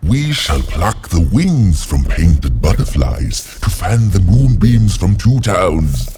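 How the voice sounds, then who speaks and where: In a put-on character voice, the speaker talks at a fairly slow pace with hardly any pauses. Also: man, fairly low pitch for a man. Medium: video game. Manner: pompous, theatrical, sing-song rhyming.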